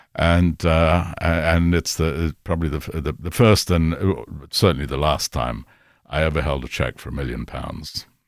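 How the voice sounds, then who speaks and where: A very deep, low-pitched man's voice with vocal fry and ordinary pitch variation. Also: moderate pace, very clean recording, silent background. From Kenya. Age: 70s. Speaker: music industry executive. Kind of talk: casual chat. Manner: halting.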